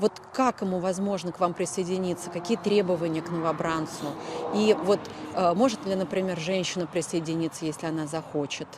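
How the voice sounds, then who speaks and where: Against noticeable background noise, a woman with a strong Moscow accent speaks fairly low and fairly quickly, her intonation fairly even but her loudness swinging widely. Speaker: journalist. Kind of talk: interview. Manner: hesitant, many fillers.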